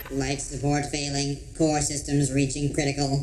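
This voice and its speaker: A put-on character voice at a low-to-middle pitch moves at a moderate pace against clear background noise. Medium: audio drama. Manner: deadpan, sulky.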